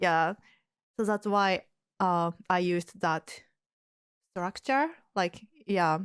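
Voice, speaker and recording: Very slow and marked by long, frequent pauses, this voice with a Japanese accent keeps a very even loudness and ordinary pitch variation, in a very clean recording with a silent background and a dry, close sound with no echo. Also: woman, medium pitch for a woman. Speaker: yoga teacher and podcast host. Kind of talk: casual chat. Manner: halting.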